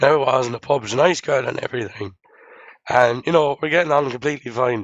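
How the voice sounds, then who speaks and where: A medium-pitched man with an Irish accent, talking at a very fast pace with ordinary pitch variation. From Ireland. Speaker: livestream co-host, software developer. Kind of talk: casual chat.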